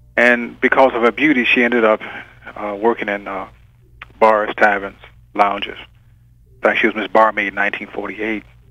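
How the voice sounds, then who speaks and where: A man with a fairly low pitch speaks at a fairly quick pace in a monotone, flat way, with long, frequent pauses and big swings in loudness. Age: 60s. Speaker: writer. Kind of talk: interview. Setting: phone call. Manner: halting.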